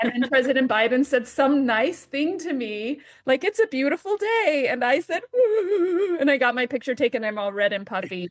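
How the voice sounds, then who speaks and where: With an American accent, the speaker sounds animated, swinging very widely in pitch at a moderate pace. There are hardly any pauses, and the sound is dry and close with no echo. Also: woman, high pitch for a woman. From Southeast Idaho, US. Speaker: arts program chapter leader. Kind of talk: casual interview chat.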